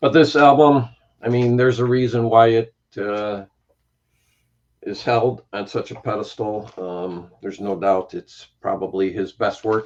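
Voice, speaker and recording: A normal speaking voice, a man at medium pitch with a fairly slow pace and ordinary pitch variation. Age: 60s. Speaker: music YouTuber. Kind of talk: casual chat.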